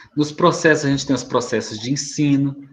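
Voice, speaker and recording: This man's voice sits at a medium pitch. It has a somewhat breathy sound. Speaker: school staff presenting to parents. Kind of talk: presentation to parents in online meeting.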